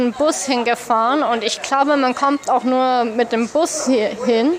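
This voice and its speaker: Over noticeable background noise, a woman speaks at a fairly slow pace in a high voice. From Upper Austria. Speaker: expat traveller. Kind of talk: interview. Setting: café. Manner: hesitant.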